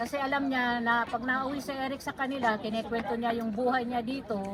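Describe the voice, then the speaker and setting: Loud and high-pitched, a woman speaks at a moderate pace. Crowd noise fills the background. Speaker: tribute speaker, surrogate mother of deceased. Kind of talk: eulogy speech.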